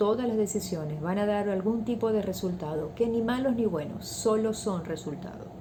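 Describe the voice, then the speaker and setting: A soft-spoken woman with a medium pitch talks over noticeable background noise, and audible room echo can be heard. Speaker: values teacher. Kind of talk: talk on values.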